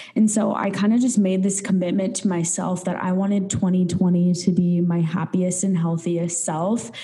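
A woman's medium-pitched voice comes through with noticeable background noise and audible room echo. She talks in a flat monotone with hardly any pauses. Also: moderate pace. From North Dakota. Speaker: podcast co-host. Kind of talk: casual chat.

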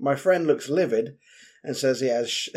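In a London accent, a man talks at a fairly quick pace. His pitch sits fairly high. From London, East End. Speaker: podcast co-host. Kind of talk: casual chat.

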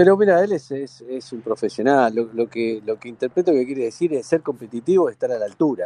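The voice moves at a fairly quick pace with hardly any pauses, lively intonation, big swings in loudness and a dark, mellow tone, in a dry, close sound with no echo. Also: man, medium pitch for a man. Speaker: football club director. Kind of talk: radio interview. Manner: halting, repeats words.

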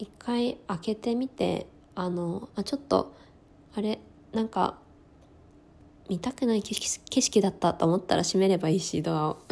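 Speaking at a medium pitch with ordinary variation, a woman leaves long, frequent pauses. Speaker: podcast host. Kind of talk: personal monologue. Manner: stumbling over words.

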